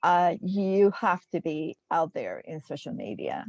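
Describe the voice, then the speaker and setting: Vocal fry at a fairly slow pace with ordinary pitch variation, dry and close with no echo, against a quiet background. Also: woman. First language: not English. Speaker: social media marketer. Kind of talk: group discussion. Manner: halting, many fillers.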